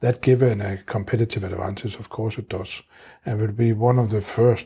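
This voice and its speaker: A man speaks at a moderate pace, somewhat breathy, with a dark, mellow tone. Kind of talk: interview answer. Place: office. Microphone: lapel.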